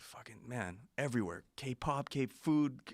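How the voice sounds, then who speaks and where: This is a man speaking. He has an American accent. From Los Angeles, US. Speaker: podcast guest. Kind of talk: casual chat. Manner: animated; halting.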